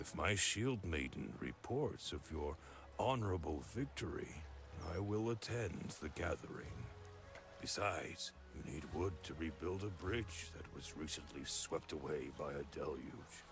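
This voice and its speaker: A man uses a cartoonish character voice at a very deep, low pitch, with clear background noise behind him. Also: moderate pace. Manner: severe with a tinge of mockery.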